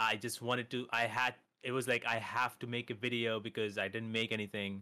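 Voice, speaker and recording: In a dry, close recording with no echo, a man with an American accent speaks at a moderate pace in a bright, sharp tone with monotone, flat intonation. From India. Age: 20s. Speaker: streamer and content creator. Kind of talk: casual interview chat.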